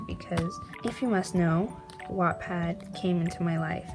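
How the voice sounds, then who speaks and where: Fairly slow speech from a woman, backed by music. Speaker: artist. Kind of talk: casual talk to camera.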